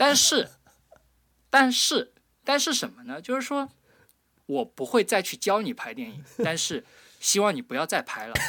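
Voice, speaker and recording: The raised, projected voice has a bright, sharp tone, very wide pitch swings, big swings in loudness and long, frequent pauses. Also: man, extremely high pitch for a man, moderate pace. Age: 20s. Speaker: podcast host. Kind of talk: casual chat; scripted narration. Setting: remote call.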